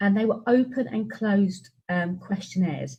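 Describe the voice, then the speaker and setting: A woman's medium-pitched, dark, mellow, somewhat breathy voice in a British accent. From UK. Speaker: education researcher and teacher. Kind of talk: webinar presentation.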